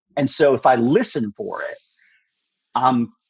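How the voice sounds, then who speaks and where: A man speaks with ordinary pitch variation, recorded dry and close with no echo. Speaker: guest expert in direct marketing. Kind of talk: interview podcast conversation. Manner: fast.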